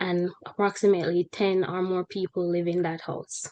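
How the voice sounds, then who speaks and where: A medium-pitched woman in a Jamaican accent, at a moderate pace with monotone, flat intonation. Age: 20s. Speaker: human resources professional. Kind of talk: interview testimony.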